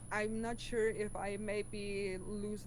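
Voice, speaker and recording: Someone talks with a German accent over noticeable background noise. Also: woman. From southern Germany (Swabia). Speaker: science YouTuber. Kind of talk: interview. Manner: clear enunciation.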